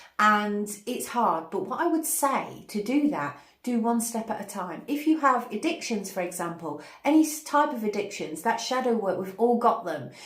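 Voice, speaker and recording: At a moderate pace, a woman with a fairly high pitch makes very wide pitch swings, heard through audible room echo and noticeable background noise. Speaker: spiritual channel host, meditation teacher. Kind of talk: spiritual guidance talk to camera. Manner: energetic, hyperactive.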